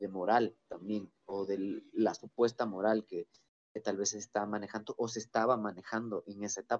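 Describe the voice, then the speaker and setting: With a dry, close sound and no echo, a man speaks fairly slowly in a fairly low, monotone, flat voice. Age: 20s. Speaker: musician and podcaster. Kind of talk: casual chat. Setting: video call.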